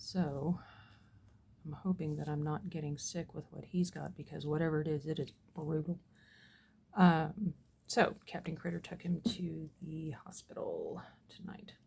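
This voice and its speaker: A woman's fairly low, somewhat breathy voice in a dark, mellow tone, at a fairly slow pace with long, frequent pauses. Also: fairly even intonation. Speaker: resin crafter. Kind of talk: tutorial. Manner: casual, rambling with fillers.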